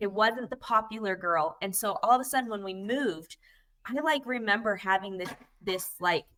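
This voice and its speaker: Loud and energetic, a woman speaks at a fairly high pitch in a bright, sharp tone. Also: ordinary pitch variation, moderate pace. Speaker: network marketing coach and podcast co-host. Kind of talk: casual panel chat.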